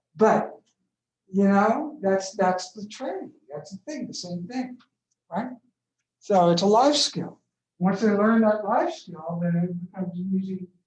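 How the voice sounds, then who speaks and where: The speech goes at a fairly slow pace, broken by long, frequent pauses. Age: 60s. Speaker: professor. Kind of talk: lecture.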